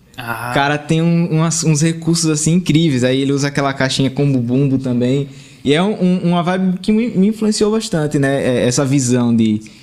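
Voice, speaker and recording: Against noticeable background noise, a man with a fairly high pitch speaks at a moderate pace, his intonation lively and his loudness very even. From Sergipe, Brazil. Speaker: band drummer. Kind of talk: casual interview chat. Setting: small studio.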